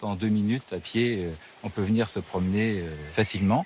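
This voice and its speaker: A man talks at a moderate pace in a fairly low pitch. He has a plain, everyday voice. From Normandy, France (Rouen). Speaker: cathedral master of ceremonies. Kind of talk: interview.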